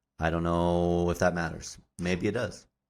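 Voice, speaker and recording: A man's resonant, very deep, low voice at a moderate pace, in a very clean recording with a silent background. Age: 30s. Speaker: podcast host. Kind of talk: casual chat.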